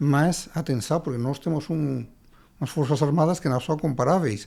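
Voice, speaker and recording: Speaking with a Spanish accent, a man has a fairly high, dark, mellow voice and ordinary pitch variation. He keeps a moderate pace in a very clean recording with a silent background. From Spain, Andalusia. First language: Spanish (speaking Portuguese). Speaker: writer and lawyer. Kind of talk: interview. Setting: studio podcast. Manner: halting, many repetitions.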